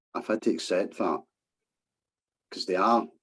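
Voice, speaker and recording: A man with a Scottish accent. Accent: Scottish, subtle. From Scotland, East End of Glasgow. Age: 50s. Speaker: former scaffolder, vaccine-injury campaigner. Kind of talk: podcast interview. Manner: hesitant, many fillers.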